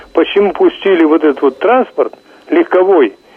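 With a high pitch and ordinary pitch variation, a man speaks at a moderate speed while noticeable background noise runs underneath. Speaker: caller. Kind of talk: phone-in comment. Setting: phone call.

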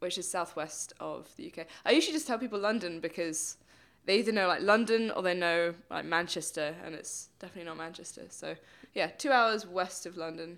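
A woman with a British accent speaks fairly quickly at a fairly low pitch, with ordinary pitch variation. Her loudness swings widely on a very clean recording with a silent background. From England, Bristol. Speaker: stuntwoman. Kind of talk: podcast interview. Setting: studio.

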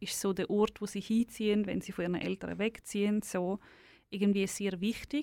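With a Swiss accent, a woman talks at a moderate pace and medium pitch in a monotone, flat delivery, the sound dry and close with no echo on a very clean recording with a silent background. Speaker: author. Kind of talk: interview.

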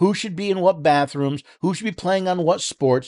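A man's voice, dry and close with no echo, over a quiet background. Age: 60s. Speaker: radio talk show host. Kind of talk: political commentary monologue. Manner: halting with repetitions.

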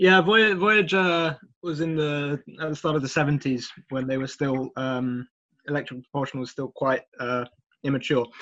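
Using an unremarkable speaking voice, a man talks at a moderate pace with fairly high pitch and ordinary pitch variation. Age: 20s. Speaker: aerospace engineer. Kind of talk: casual interview.

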